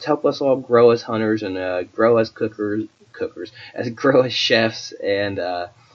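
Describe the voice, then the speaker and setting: Noticeable background noise sits under a man talking at a moderate pace and medium pitch, with ordinary pitch variation. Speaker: podcast host; hunter. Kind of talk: podcast intro monologue. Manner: halting, many fillers.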